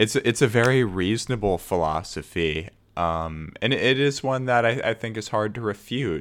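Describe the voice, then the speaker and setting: With hardly any pauses, a man with a fairly low pitch and lively intonation speaks at a moderate pace on a very clean recording with a silent background. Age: 20s. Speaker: podcast host. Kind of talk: solo monologue podcast. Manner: halting, frequent fillers and restarts.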